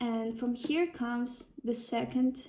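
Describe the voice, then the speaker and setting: Speaking with a Ukrainian accent, a woman has a high pitch and a dark, mellow tone. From Ukraine. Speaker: sound healer and psychology student. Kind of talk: personal talk to camera.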